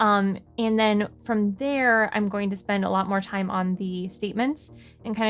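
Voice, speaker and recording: A woman's medium-pitched voice over background music. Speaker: puzzle video creator. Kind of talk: puzzle walkthrough. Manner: casual, hesitant with fillers.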